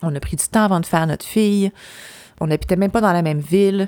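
A woman with a Quebec accent speaks fairly quickly in an animated tone, her fairly low pitch varying in an ordinary way. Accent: Québécois French. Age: 40s. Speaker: podcast host. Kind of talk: personal monologue. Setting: cottage.

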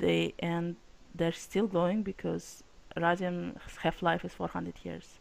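A woman speaks very slowly with a Russian accent. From Russia / former Soviet republic. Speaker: publishing company CEO. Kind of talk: casual chat.

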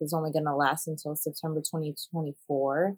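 In a dry, close sound with no echo, a woman speaks at a moderate pace in a very deep, low voice. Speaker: podcast co-host discussing news. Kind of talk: casual news discussion.

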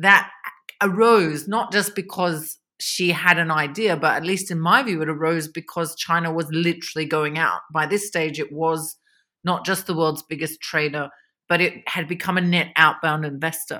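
On a very clean recording with a silent background, a woman speaks at a moderate pace in a bright, sharp tone. Her pitch is fairly low and her intonation fairly even. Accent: Australian. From Australia (Victoria). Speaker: economist, China expert. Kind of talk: interview.

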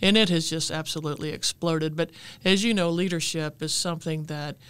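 A woman speaks at a fairly low pitch with fairly even intonation. It is a normal speaking voice. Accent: American. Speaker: fire chief. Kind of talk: interview. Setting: studio.

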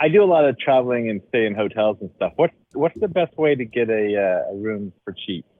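He speaks in a plain, everyday voice with an American accent and lively intonation. This man has a medium pitch and a moderate pace. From Dallas, Texas. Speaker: caller. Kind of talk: casual chat.

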